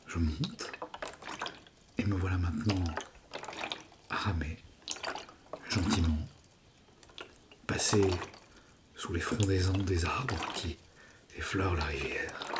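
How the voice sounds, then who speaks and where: A man with a very deep, low voice speaks in a calm, gentle tone with fairly even intonation. He goes at a very slow pace with long, frequent pauses, over noticeable background noise. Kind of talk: whispered ASMR story. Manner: whispered, calm, gentle.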